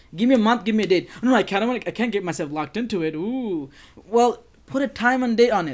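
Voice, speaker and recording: A man races along at a very fast pace, his high voice full of lively intonation. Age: 20s. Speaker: co-host, psychology and leadership coach. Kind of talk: casual chat. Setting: Facebook live stream.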